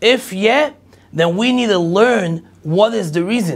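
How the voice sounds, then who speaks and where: This man's voice sits high, and his intonation is lively. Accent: Israeli. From Israel. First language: Hebrew. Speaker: rabbi, lecturer. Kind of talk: lecture.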